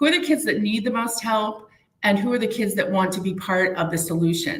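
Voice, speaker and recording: A woman with a New Hampshire accent speaks at a medium pitch with lively intonation, and room echo is audible. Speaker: community prevention outreach worker. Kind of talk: live interview.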